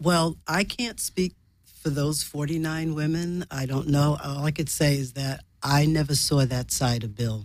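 A woman with a New York accent, very deep and low in pitch, at a fairly slow pace with ordinary pitch variation. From New York City. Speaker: sitcom writer and writing teacher. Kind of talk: casual interview chat.

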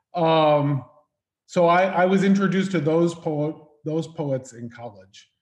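A man with an American accent talks at a fairly slow pace. His is an unremarkable speaking voice with ordinary pitch variation. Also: fairly high pitch for a man. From New York. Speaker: host. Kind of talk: casual conversational interview. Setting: video call.

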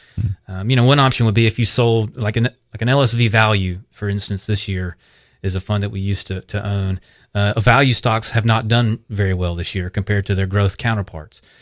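With a South Carolina accent, the speaker talks at a fairly quick pace and fairly even intonation, the sound dry and close with no echo against a quiet background. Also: man, fairly low pitch for a man. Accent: Southern US (South Carolina). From US South, upstate South Carolina. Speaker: financial planner. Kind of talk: radio interview. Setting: studio.

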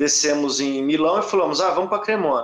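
There is noticeable background noise behind a man's speech. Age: 40s. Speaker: rock musician. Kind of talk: casual interview chat.

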